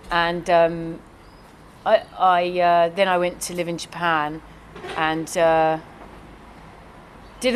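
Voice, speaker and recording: A woman's fairly low-pitched voice with a southern English accent. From London. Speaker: executive assistant. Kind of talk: interview answers. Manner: halting.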